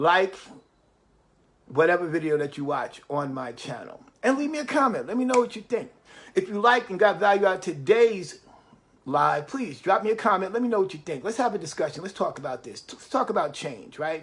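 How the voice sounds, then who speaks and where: With a New York accent, a man talks at a high pitch and fairly quick pace, with very wide pitch swings and big swings in loudness. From New York City. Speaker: motivational live streamer. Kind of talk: motivational livestream talk. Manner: repetitive, emphatic.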